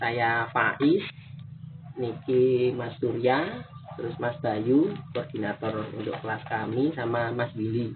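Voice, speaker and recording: Noticeable background noise accompanies a man with a strong Javanese accent speaking at a very slow pace. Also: medium pitch for a man, ordinary pitch variation. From Solo, Central Java, Indonesia. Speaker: student interviewer. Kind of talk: field interview. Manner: hesitant, many fillers.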